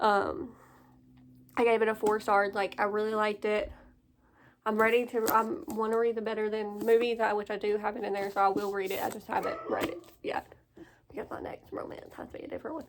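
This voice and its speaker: A woman with a fairly high pitch speaks at a fairly quick pace with fairly even intonation. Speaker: book vlogger. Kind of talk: casual chat. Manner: fast.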